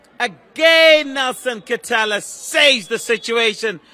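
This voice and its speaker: Over noticeable background noise, a raised, projected voice carries an animated tone. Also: man. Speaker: football match commentator. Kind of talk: live sports commentary. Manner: animated, excitable, rising to shouts on chances and goals.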